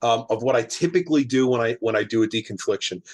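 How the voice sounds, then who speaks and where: A man's speech carries lively intonation. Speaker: private investigator. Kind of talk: casual chat. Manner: fast.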